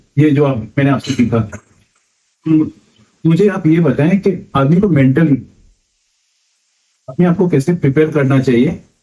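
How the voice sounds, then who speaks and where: A man with a Mumbai accent speaks in a fairly high, somewhat breathy voice with a dark, mellow tone, ordinary pitch variation, very even loudness and long, frequent pauses. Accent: Mumbai Hindi. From Mumbai, India. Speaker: first-time pilgrim asking questions. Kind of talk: podcast interview.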